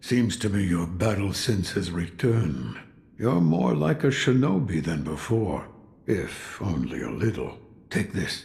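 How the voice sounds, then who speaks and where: A man puts on a character voice with a very deep, low pitch and very wide pitch swings. He speaks at a fairly slow pace. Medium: video game. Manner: gruff, terse.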